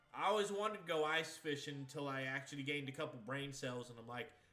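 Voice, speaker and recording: A man speaks with a fairly high pitch and an American accent, his tone animated. Music plays in the background, and the room echo is audible. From Maine, US. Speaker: video game streamer. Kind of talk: casual chat. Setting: live stream.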